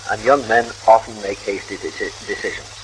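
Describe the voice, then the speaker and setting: A man talks. Noticeable background noise can be heard. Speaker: spiritualist leader and editor. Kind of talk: radio talk. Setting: vintage radio broadcast recording.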